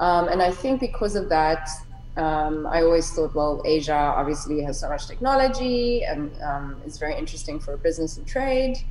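Over noticeable background noise, a woman with a fairly low pitch speaks at a moderate pace, her pitch swinging very widely. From South Africa, Cape Town. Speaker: entrepreneur podcaster. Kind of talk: casual chat. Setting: video call.

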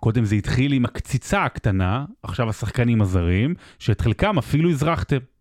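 A man's normal speaking voice at medium pitch, with lively intonation, very even loudness, a moderate pace and hardly any pauses, on a very clean recording with a silent background. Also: dry, close sound with no echo. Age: 30s. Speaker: sports podcast host. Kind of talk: storytelling; casual chat.

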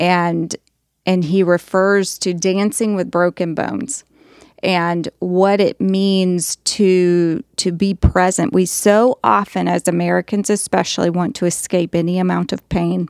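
A woman with a plain, everyday voice speaks at a fairly slow pace and fairly low pitch, her intonation fairly even. The recording is very clean with a silent background, and the sound is dry and close with no echo. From US South. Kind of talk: casual faith discussion.

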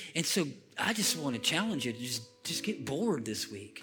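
A man at a moderate pace, lively intonation, with music in the background. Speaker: pastor. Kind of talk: sermon; fervent closing prayer, spoken aloud to a congregation. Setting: church. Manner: halting with frequent repeats and fillers.

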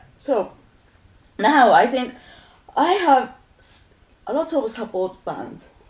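A woman with a high voice and a Japanese accent speaks at a very slow pace, leaving long, frequent pauses as her pitch swings very widely. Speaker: musician. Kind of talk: casual chat.

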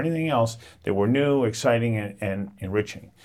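On a very clean recording with a silent background, a man with an unremarkable speaking voice talks at a moderate pace, medium in pitch with ordinary variation. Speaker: podcast host. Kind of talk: interview intro and conversation.

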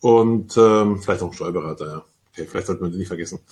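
A man speaks in a somewhat breathy voice. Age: 40s. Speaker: insurance broker pool executive. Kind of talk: panel discussion.

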